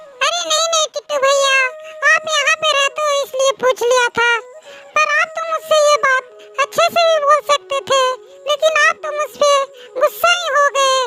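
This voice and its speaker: A woman performs a cartoonish character voice at an extremely high pitch, with lively intonation and a moderate pace, over clear music in the background, the sound dry and close with no echo. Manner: polite, gentle.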